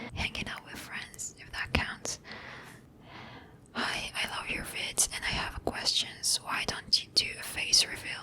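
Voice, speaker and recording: Whispering at a fairly slow pace comes through against noticeable background noise. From Israel. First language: Hebrew. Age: 20s. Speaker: ASMR creator. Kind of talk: casual Q&A, ASMR style. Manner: soft-spoken; halting.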